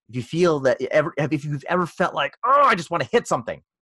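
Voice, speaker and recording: A man talks at a very fast pace with vocal fry. The sound is dry and close with no echo, over a quiet background. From Philippines-born, raised moving around. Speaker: martial arts instructor and podcaster. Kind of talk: casual interview. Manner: halting, many fillers.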